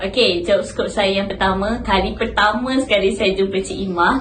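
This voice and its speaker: A woman speaks at a fairly quick pace. Audible room echo and noticeable background noise surround her voice. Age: 20s. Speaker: university intern. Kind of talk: casual interview.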